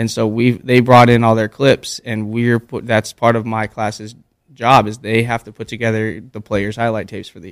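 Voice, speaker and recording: The sound is dry and close with no echo as a man speaks in a flat monotone at a medium pitch. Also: moderate pace, big swings in loudness. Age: 20s. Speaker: high school basketball coach. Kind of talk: interview. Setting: studio.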